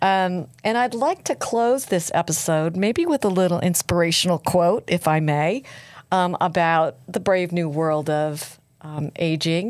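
A woman's fairly low-pitched, normal speaking voice with an American accent, very even loudness, ordinary pitch variation and a fairly slow pace, in a very clean recording with a silent background. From US East Coast. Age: 60s. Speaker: podcast host. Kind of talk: interview. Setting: studio.

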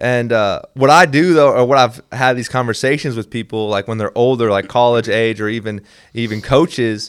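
A man with an American accent and a plain, everyday voice, medium in pitch, with fairly even intonation at a fairly quick pace, on a very clean recording with a silent background. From Minnesota, US Upper Midwest. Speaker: sports ministry representative. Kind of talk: casual chat.

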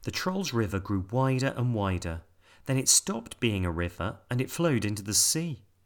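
This is an unforced reading voice. It is delivered as written.

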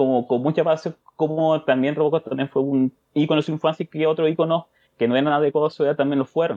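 A man's very fast delivery, fairly high in pitch, with very even loudness and fairly even intonation. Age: 30s. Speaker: podcast listener, father. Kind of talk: interview.

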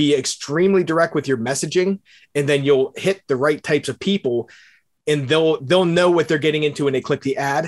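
A man with an American accent has an ordinary speaking voice. He speaks at a fairly quick pace in a fairly high pitch with ordinary pitch variation. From Pittsburgh, Pennsylvania. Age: 40s. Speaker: digital marketer and real estate investor. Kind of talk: interview.

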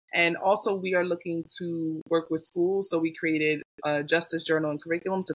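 With an American accent, this is an unremarkable speaking voice delivered at a fairly quick pace. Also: woman, dry, close sound with no echo. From US South, Mobile, Alabama family. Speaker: diversity and equity trainer. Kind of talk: casual interview.

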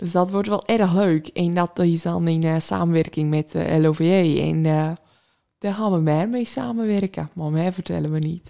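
On a very clean recording with a silent background, a woman with a fairly low pitch and a dark, mellow tone speaks at a fairly slow pace. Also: ordinary pitch variation. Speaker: podcast co-host. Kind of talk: casual chat.

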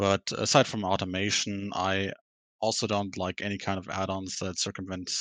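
A man with a German accent speaks in a monotone, flat intonation at a moderate pace, with a dry, close sound with no echo on a very clean recording with a silent background. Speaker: podcast guest, gamer. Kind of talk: casual chat.

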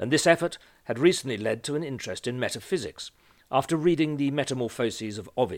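A natural reading voice carries this recording.

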